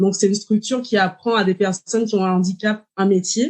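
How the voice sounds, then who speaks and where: A woman talks at a moderate pace in a medium-pitched, somewhat breathy voice with fairly even intonation. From Martinique. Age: 30s. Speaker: dietitian. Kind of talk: podcast interview.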